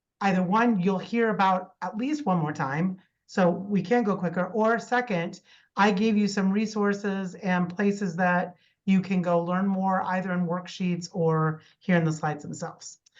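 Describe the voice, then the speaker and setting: The woman's voice sits at a medium pitch with ordinary pitch variation. The background is quiet. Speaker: extension educator / course instructor. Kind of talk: online lecture. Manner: fast.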